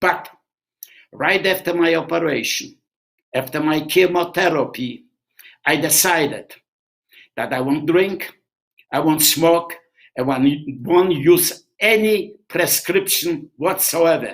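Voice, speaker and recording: A man's high voice at a very slow pace, with ordinary pitch variation and long, frequent pauses. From Poland. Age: 90s. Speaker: Holocaust survivor and drummer. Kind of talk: Q&A testimony.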